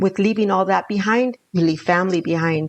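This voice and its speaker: A woman with a Spanish accent keeps her intonation fairly even. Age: 60s. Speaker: danza elder and grandmother. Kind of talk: casual conversation, podcast interview.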